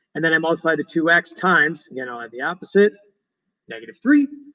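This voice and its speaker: A man talks at a very fast pace with a fairly high pitch and a bright, sharp tone. His intonation is lively, and the sound is dry and close with no echo. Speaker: math teacher. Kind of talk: tutorial lesson. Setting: recorded at computer.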